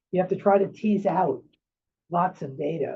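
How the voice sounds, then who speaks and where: A man in a New York accent talks at a fairly quick pace. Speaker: psychiatrist. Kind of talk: lecture. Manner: halting.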